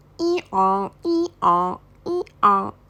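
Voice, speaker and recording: A woman of medium pitch performs a put-on character voice. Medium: read story.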